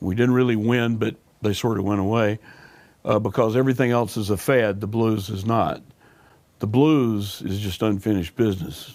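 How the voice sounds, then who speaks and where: Speaking with a Southern US accent, a man keeps a moderate pace and fairly even intonation. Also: fairly low pitch for a man. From US South, Alabama. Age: 60s. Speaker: blues musician. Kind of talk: interview.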